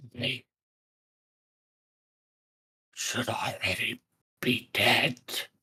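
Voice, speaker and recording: A croaky, raspy put-on character voice at a very slow pace. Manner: weary and despairing.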